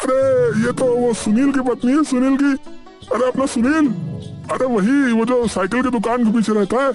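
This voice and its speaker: A man puts on a cartoonish character voice at an extremely high pitch. Clear music plays behind him. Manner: repetitive, chatty.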